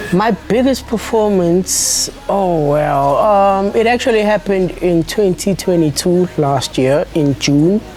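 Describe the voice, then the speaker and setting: A woman speaks fairly slowly in a South African accent with ordinary pitch variation. There is noticeable background noise. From South Africa, Eldorado Park. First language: isiZulu. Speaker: musician. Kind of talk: interview. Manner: halting.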